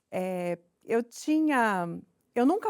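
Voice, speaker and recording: Lively intonation comes through on a very clean recording with a silent background and a dry, close sound with no echo. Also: woman. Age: 40s. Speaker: actress and inclusion consultant. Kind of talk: interview.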